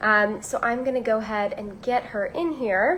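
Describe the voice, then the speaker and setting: A woman with an American accent speaks at a high pitch. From Virginia. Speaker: magazine beauty director, interviewer. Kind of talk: live-streamed interview. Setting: live video stream.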